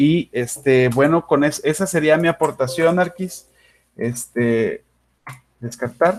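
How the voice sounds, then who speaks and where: A man is speaking at a fairly high pitch. His pace is fairly slow. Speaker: university lecturer in architecture. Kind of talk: online class lecture.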